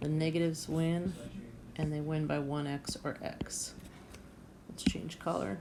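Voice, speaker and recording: A woman's very deep, low voice with a dark, mellow tone, fairly even intonation and a fairly slow pace, in audible room echo. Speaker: math teacher. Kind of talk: tutorial.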